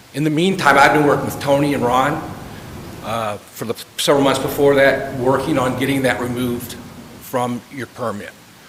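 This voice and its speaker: Amid noticeable background noise and audible room echo, a man speaks at a moderate pace and medium pitch with fairly even intonation. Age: 60s. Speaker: chemical supplier speaking at public comment. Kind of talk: public comment at board meeting. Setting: public meeting. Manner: hesitant, with fillers.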